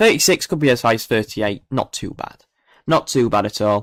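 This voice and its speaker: A man with a Yorkshire accent talks at a fairly quick pace with lively intonation. The sound is dry and close, with no echo. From northern England, Barnsley, South Yorkshire. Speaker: weather livestreamer. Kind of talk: live stream commentary. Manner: casual, hesitant with fillers.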